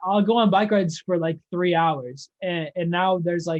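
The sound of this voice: At a fairly slow pace, a man talks in a high pitch with ordinary pitch variation.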